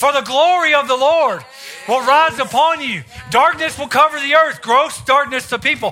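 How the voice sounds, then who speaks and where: A raised, projected voice carries ordinary pitch variation. Music plays in the background. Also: man. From US South. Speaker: visiting preacher. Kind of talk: sermon; fervent closing prayer and blessing declaration over the congregation. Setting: church service with congregation. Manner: rhythmic, repetitive declarations with call-and-response prompts to the crowd.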